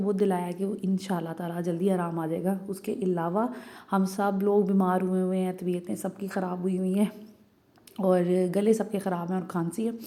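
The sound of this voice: Medium pitch from a woman, dark and mellow in tone, with fairly even intonation at a moderate pace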